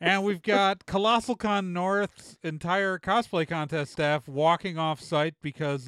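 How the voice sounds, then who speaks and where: At a moderate pace, a man speaks in an unremarkable speaking voice, captured in a very clean recording with a silent background. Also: dry, close sound with no echo. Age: 40s. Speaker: podcast host. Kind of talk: casual chat.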